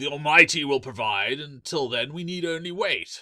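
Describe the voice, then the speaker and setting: A man's put-on character voice, raspy, raised and projected, fairly high in pitch, at a moderate pace. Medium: read story. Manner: loud, domineering.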